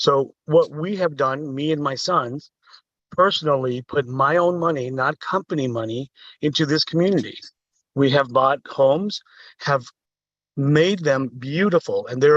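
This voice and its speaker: A man's fairly high voice with ordinary pitch variation at a moderate pace, in a dry, close sound with no echo. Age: 60s. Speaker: public commenter, property investor. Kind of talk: public comment at council meeting. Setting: city council meeting. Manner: animated.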